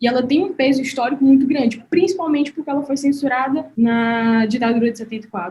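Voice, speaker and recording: A woman's high-pitched voice with a dark, mellow tone, ordinary pitch variation, a very fast pace and hardly any pauses. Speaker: interviewer. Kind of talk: interview question.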